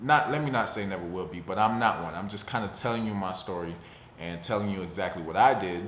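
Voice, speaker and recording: A man with an American accent, fairly low in pitch, talking at a fairly quick pace with ordinary pitch variation and audible room echo. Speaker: personal finance vlogger. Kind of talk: casual talk-to-camera vlog. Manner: fast; casual, conversational.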